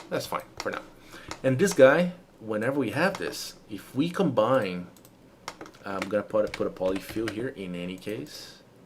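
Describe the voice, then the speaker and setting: With a Brazilian Portuguese accent, a man at medium pitch talks at a moderate pace, his pitch swinging very widely and his loudness shifting a lot, with long, frequent pauses. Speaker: 3D modeling instructor. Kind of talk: live-streamed tutorial. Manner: halting, with fillers and repetitions.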